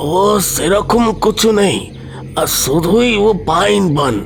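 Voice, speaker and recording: Over clear background noise, a man uses a put-on, high-pitched character voice at a fairly slow pace. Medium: audio drama. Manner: mixes Bengali and Hindi.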